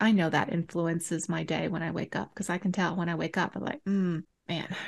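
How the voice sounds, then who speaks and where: Over a quiet background, a woman with fairly low pitch and ordinary pitch variation talks at a very fast pace. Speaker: podcast co-host. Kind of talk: casual chat.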